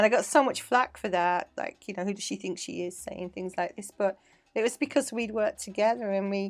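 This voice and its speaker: A woman with an English accent, medium pitch, ordinary pitch variation, a fairly quick pace and big swings in loudness. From England (Manchester). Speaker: dance teacher and choreographer. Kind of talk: casual interview chat. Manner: animated.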